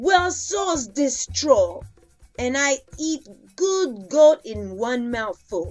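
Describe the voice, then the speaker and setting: A growling, put-on character voice moves at a very slow pace over faint music in the background. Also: female-sounding voice, high pitch for a woman. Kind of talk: storytelling.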